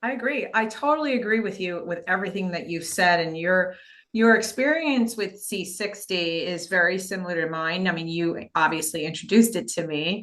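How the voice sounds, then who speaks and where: With an unremarkable speaking voice at a medium pitch, a woman talks at a moderate pace with lively intonation and hardly any pauses. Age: 60s. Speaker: podcast host, doctor. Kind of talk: interview.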